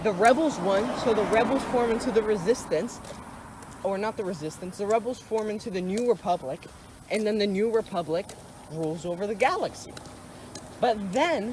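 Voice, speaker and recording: The pace is moderate. Background noise can be clearly heard. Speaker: YouTuber discussing movies. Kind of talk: casual monologue. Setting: outdoors. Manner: halting, self-correcting.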